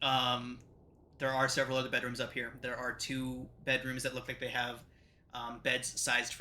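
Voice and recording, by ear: A passage is read aloud in a natural voice.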